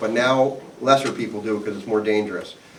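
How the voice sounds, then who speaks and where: Noticeable background noise is present throughout. The man's voice carries audible room echo. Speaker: attorney presenting to HOA board members. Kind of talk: seminar presentation with audience Q&A. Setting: live seminar audience, also recorded on video. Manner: conversational, self-correcting.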